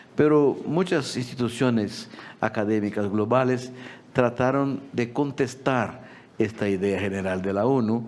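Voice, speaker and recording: A man with a Portuguese accent, medium-pitched, at a fairly slow pace, with ordinary pitch variation and audible room echo. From Brazil. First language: Portuguese (speaking Spanish). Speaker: agricultural policy expert. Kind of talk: conference talk. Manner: halting.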